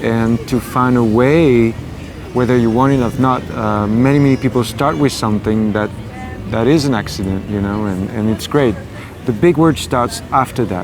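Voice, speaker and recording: A man at medium pitch and moderate pace, ordinary pitch variation, music in the background. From France, Paris. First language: French. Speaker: singer. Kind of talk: interview. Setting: outdoors. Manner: halting.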